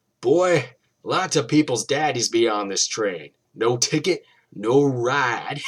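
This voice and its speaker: Putting on a character voice, a man cackles at a medium pitch. He goes at a fairly slow pace. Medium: read story. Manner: taunting, cackling, menacing.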